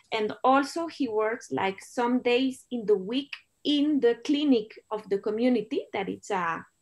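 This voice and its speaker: This woman speaks in a Spanish accent with a fairly high pitch. Her intonation is lively. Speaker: documentary filmmaker. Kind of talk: Q&A interview. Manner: halting.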